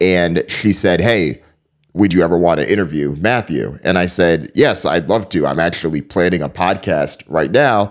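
A man with an American accent speaks at a moderate pace, his very deep, low voice showing ordinary pitch variation. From Connecticut, US (East Hartford), Jamaican parents. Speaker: media company founder, journalist. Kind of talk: interview.

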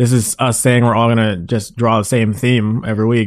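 In a Canadian accent, a man with a plain, everyday voice talks at a fairly quick pace, with medium pitch and fairly even intonation. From Mississauga, Ontario, Canada. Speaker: comic artist, leader of an art collective. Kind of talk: casual interview.

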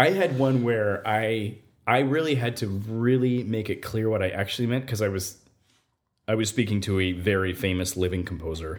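Here is a man with an American accent and an ordinary speaking voice, pitched fairly low with ordinary pitch variation. He speaks at a moderate pace on a very clean recording with a silent background. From Nevada, US. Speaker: composer. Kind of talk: interview.

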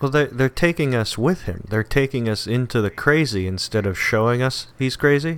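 A man speaks at a moderate pace with hardly any pauses, in a plain, everyday voice. His medium pitch shows ordinary variation. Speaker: comic book podcast co-host. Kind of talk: casual banter, comic book review.

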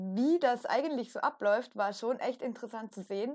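Recorded very cleanly against a silent background, a woman uses a normal speaking voice with fairly high pitch and ordinary pitch variation. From Austria. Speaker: podcast co-host. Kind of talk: casual chat.

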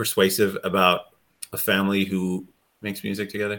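At a moderate pace, a man speaks with a fairly low pitch and a bright, sharp tone. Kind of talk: casual chat. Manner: animated.

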